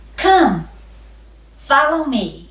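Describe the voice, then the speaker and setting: A woman's high-pitched, put-on character voice with a slight echo. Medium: read story. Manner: calm, inviting.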